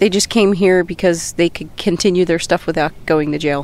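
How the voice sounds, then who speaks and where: A woman uses an ordinary speaking voice with fairly even intonation. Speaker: co-host. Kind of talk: casual chat.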